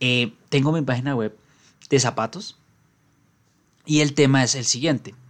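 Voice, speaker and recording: A man at a medium pitch talks fairly slowly, leaving long, frequent pauses, and his pitch varies in an ordinary way. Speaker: podcast host. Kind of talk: solo explainer podcast.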